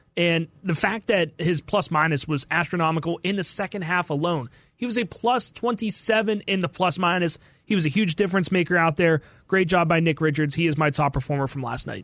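At a fairly quick pace, a man with a high pitch talks with ordinary pitch variation, in a very clean recording with a silent background. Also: dry, close sound with no echo. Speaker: radio producer and co-host. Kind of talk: podcast discussion. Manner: casual, conversational.

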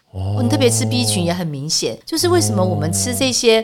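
An animated woman at a fairly quick pace, with very wide pitch swings, over noticeable background noise. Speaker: edible oil expert and author. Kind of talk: casual interview. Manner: animated, laughing often.

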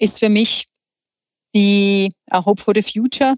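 A woman speaks at a very slow pace with fairly even intonation. The sound is dry and close, with no echo. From Czech Republic. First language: Czech (speaking German). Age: 40s. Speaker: entrepreneur. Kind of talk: interview. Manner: halting, many filler sounds.

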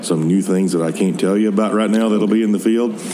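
A man's intonation stays fairly even as noticeable background noise carries on. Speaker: product manager. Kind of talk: interview. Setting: trade show floor.

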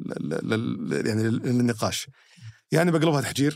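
A man with a normal speaking voice talks at a medium pitch, using ordinary pitch variation. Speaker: podcast host. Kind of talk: casual chat. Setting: studio.

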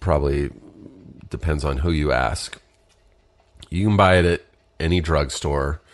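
This man has a very deep, low pitch with vocal fry and ordinary pitch variation. He keeps a moderate pace, broken by long, frequent pauses. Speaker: podcast host. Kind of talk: casual solo podcast monologue.

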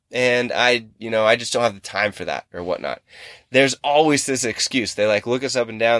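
In a normal speaking voice, someone talks at a fairly quick pace with ordinary pitch variation, the sound dry and close with no echo on a very clean recording with a silent background. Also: man. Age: 30s. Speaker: fitness podcast host and coach. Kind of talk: casual solo podcast monologue. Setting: in a car in a parking lot.

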